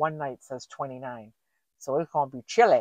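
A woman speaks at a moderate pace with ordinary pitch variation. The background is quiet, and the sound is dry with no echo. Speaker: van-life vlogger. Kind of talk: casual vlog chat. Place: car. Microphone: camera far.

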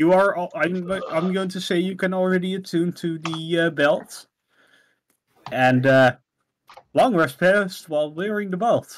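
A man with a Dutch accent, high pitch, ordinary pitch variation, a fairly slow pace and long, frequent pauses. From Netherlands. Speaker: game master. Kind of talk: tabletop roleplaying session. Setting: voice call.

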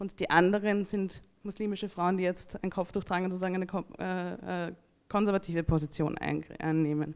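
A woman talks at a moderate pace with monotone, flat intonation over a quiet background. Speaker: academic. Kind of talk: panel discussion. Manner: analytical, formal. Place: hall. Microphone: handheld.

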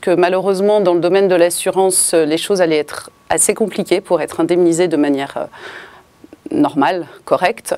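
Pitch rises and falls in an ordinary way. The tempo is moderate. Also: woman. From Paris, France. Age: 40s. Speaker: insurance broker. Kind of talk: interview testimony. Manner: hesitant, many fillers. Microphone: lapel.

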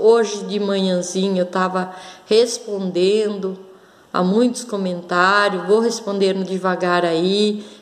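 A woman speaks at a very slow pace and medium pitch. Her intonation is monotone and flat. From Brazil. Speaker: crystal and gemstone video blogger; gemstone video blogger. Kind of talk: casual show-and-tell vlog. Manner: hesitant, many fillers. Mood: warm, grateful, calm. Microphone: phone near.

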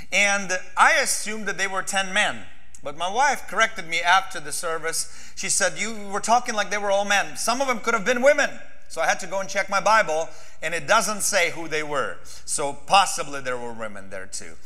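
Over music in the background, a man speaks in a raised, projected voice at a moderate pace with lively intonation. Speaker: pastor. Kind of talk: sermon. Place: church. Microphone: lapel.

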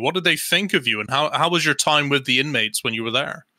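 The speaker is a man with an English accent and a bright, sharp tone. The background is quiet. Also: dry sound with no echo. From England. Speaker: podcast co-host. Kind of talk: casual chat. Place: home room. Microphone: studio mic.

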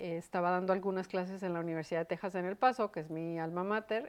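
With fairly even intonation, a woman talks in a fairly low pitch. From northern Mexico, Chihuahua. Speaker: educator and university administrator; educator. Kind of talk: interview. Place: studio. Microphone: lapel.

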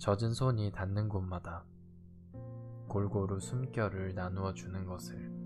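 A man at a very slow pace, with music in the background. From Korea. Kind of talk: poetry reading. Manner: soft-spoken, slow.

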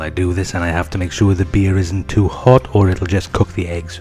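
A man's very deep, low voice at a fairly quick pace, with music in the background. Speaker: home cook narrator. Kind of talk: casual cooking commentary.

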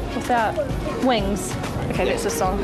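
Over clear music in the background, a woman speaks at a fairly quick pace. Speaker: TV presenter. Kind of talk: live TV interview hosting. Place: street. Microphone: handheld.

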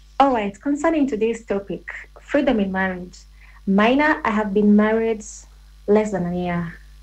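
A woman with a plain, everyday voice speaks at a moderate pace. Her pitch sits fairly high. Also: lively intonation. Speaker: listener sending a voice note. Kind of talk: voice note opinion. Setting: phone voice note. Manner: exasperated.

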